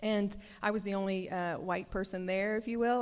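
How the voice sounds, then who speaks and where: Here is a woman in a Southern US accent. Her pitch sits in the medium range. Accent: Southern American. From US South, Nashville, Tennessee. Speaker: pastor's wife. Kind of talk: testimony. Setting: church.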